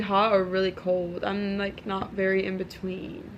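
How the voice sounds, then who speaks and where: There is noticeable background noise. Through it, a woman's voice sits at a medium pitch. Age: 20s. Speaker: podcast host. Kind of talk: casual chat.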